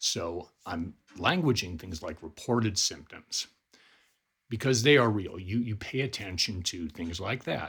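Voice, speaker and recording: A man with an American accent and an ordinary speaking voice, fairly low in pitch, with lively intonation at a moderate pace. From Colorado, US. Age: 50s. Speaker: life coach. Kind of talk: personal video appeal.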